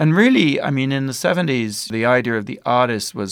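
Here a man talks at a fairly quick pace with ordinary pitch variation. He has an unremarkable speaking voice. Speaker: documentary filmmaker. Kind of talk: interview.

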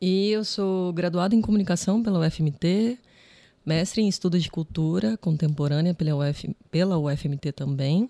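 Fairly slow and fairly low in pitch, a woman's dark, mellow tone shows ordinary pitch variation on a very clean, dry, close recording with a silent background and no echo. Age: 30s. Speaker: filmmaker. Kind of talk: podcast interview.

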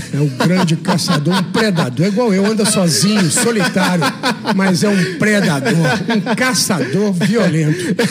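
A man speaks in a high pitch at a fairly slow pace, with ordinary pitch variation and very even loudness. There is audible room echo and noticeable background noise. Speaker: gym owner and bodybuilder. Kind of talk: radio interview. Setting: radio studio.

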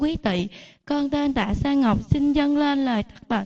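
A woman's high voice moves fairly slowly, with pitch that varies in an ordinary way. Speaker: lay Buddhist devotee. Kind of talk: ceremonial address. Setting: temple.

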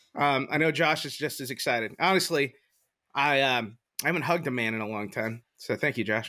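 A man speaks at a fairly quick pace with a fairly high pitch and ordinary pitch variation. His tone is bright and sharp, and the recording is very clean with a silent background. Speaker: podcast host. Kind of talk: casual banter. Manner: loud, excitable; animated.

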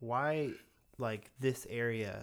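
In a normal speaking voice with an American accent, a man talks at medium pitch with ordinary pitch variation, on a very clean recording with a silent background. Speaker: podcast host. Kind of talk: casual interview. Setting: home studio.

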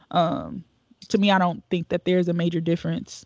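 A woman with an American accent speaks in a medium pitch with flat, monotone intonation, and the sound is dry and close with no echo. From Cleveland, Ohio, US Midwest. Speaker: youth development director. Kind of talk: casual interview.

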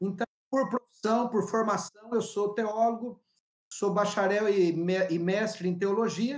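A man with a high pitch talks at a fairly slow pace, his intonation fairly even and his loudness very even. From Paraná and São Paulo state, Brazil. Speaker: pastor and youth club leader. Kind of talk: interview.

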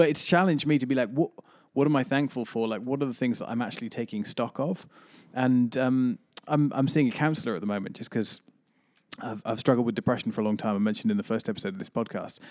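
The man talks at a very fast pace with a medium pitch. His intonation is lively. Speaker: pastor and podcast host. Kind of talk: casual chat.

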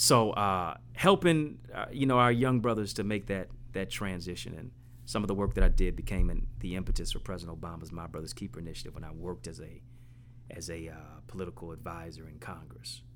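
With an American accent, a man speaks at a fairly quick pace in a very deep, low pitch with vocal fry, very wide pitch swings and big swings in loudness. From Detroit, east side. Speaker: motivational speaker and author. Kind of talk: interview. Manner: animated.

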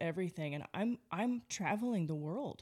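A woman speaks loudly at a medium pitch. Her pitch swings very widely. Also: very clean recording, silent background. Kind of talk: casual testimony interview. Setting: studio, across the table from host. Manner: loud, in-your-face.

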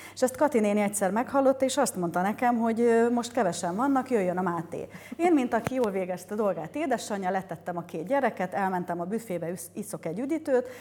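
A woman with a fairly high pitch and a dark, mellow tone talks at a very fast pace. Her intonation is lively, with hardly any pauses. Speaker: mother of athletes. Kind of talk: interview chat.

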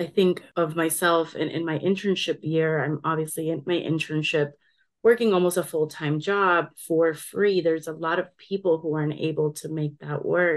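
At a moderate pace, a woman with an ordinary speaking voice, an American accent, a fairly low pitch and fairly even intonation talks against a quiet background. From Colombia, then South Florida from age eight. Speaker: counseling graduate student. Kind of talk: interview.

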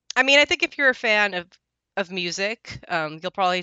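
Lively intonation runs through a woman's speech. Her pitch is medium. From Southern California, Mexican-American. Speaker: podcast co-host. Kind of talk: casual chat.

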